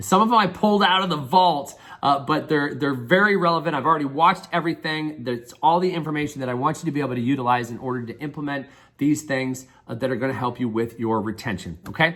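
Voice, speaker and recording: A man speaks at a very fast pace. His fairly high voice moves with lively intonation. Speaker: business coach. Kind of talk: online course welcome talk.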